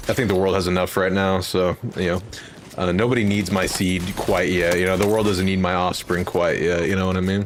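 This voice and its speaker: Noticeable background noise accompanies a man with an American accent. His pitch is very deep and low, his pace fairly quick and his loudness very even. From Texas, near Fort Worth. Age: 20s. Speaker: gaming streamer. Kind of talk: casual chat. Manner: animated.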